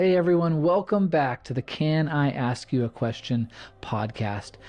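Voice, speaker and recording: A man speaks at a moderate pace in an unremarkable speaking voice. His pitch is fairly high, with lively intonation. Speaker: podcast host. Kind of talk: solo podcast monologue.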